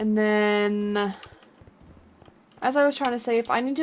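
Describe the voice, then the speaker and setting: A woman speaks in a plain, everyday voice at a moderate pace, pitched fairly high. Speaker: gaming streamer. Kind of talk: live gameplay commentary. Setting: live stream.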